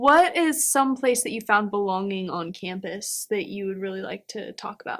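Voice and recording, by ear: At a moderate pace, a woman talks with a medium pitch, a fairly bright tone and ordinary pitch variation.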